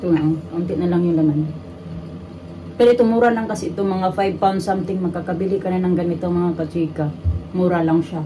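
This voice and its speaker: A woman's fairly low voice at a very fast pace, with fairly even intonation, audible room echo and noticeable background noise. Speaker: vlogger and caregiver. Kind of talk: casual vlog chat.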